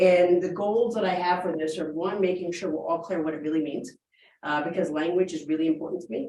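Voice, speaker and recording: A woman with an American accent, fairly low in pitch, at a fairly quick pace with ordinary pitch variation and audible room echo. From New York City. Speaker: business professor. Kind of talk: keynote lecture. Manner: fast.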